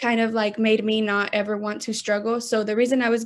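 A fairly high-pitched woman with an American accent and monotone, flat intonation, in a quiet background. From Texas, Austin. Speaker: lash technician and small business owner. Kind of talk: interview.

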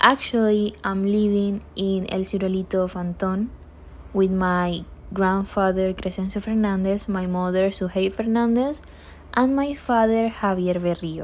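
A woman with a Panamanian accent speaks at medium pitch and a fairly slow pace, with fairly even intonation. The recording is very clean, with a silent background. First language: Spanish. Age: 20s. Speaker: university English student. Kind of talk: self-introduction.

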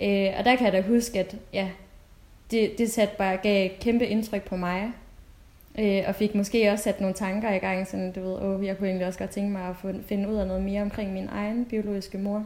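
Her medium-pitched voice stays in a flat monotone as the woman speaks. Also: moderate pace. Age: 20s. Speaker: UX designer, adoptee. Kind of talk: casual chat. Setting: video call.

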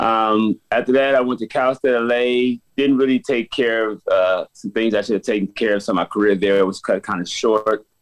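A man with an American accent speaks in an ordinary speaking voice at medium pitch and a moderate pace. His intonation is fairly even, and the sound is dry and close with no echo. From Los Angeles, South Central. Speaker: basketball coach. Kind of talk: interview.

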